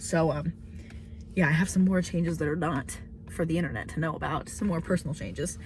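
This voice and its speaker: A woman with vocal fry speaks at a fairly quick pace, her fairly low pitch showing ordinary variation. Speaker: vlogger. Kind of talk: casual vlog monologue. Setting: in a car. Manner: hesitant, many fillers.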